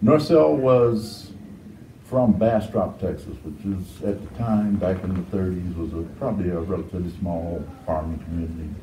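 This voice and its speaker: Over light background noise and audible room echo, a man with a very deep, low pitch talks at a moderate pace with ordinary pitch variation. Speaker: interviewee. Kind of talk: interview answer.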